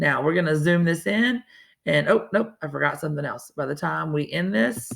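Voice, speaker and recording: The speech comes at a fairly quick pace. It is delivered in a Southern US accent. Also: woman. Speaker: teacher. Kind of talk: lesson for students. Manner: casual, conversational.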